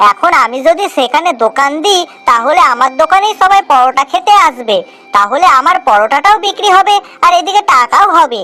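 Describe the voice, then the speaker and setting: A cartoonish character voice talks at a moderate pace over faint music in the background. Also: woman. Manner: deferential, addresses master as 'babu'.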